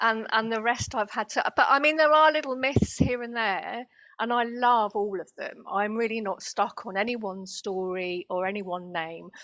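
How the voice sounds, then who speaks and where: A woman's fairly high, bright, sharp voice with a British accent, lively intonation and hardly any pauses, over a quiet background. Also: moderate pace. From Britain. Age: 50s. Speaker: spiritual healer and channeler. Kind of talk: interview.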